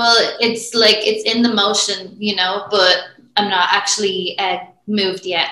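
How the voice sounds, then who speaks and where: A woman with a medium pitch talks fairly slowly in a monotone, flat intonation. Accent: Irish. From Ireland. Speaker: women's strength coach. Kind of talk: interview.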